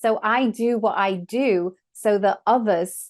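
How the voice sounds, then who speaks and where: With an English accent, the speaker keeps a fairly even intonation against a quiet background. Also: woman. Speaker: sound healer and trained opera singer. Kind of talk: casual chat.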